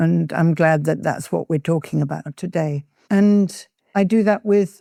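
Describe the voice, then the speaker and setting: In an English accent, a woman with a dark, mellow tone talks at a fairly slow pace with ordinary pitch variation, the sound dry and close with no echo. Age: 80s+. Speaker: peace activist. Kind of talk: interview.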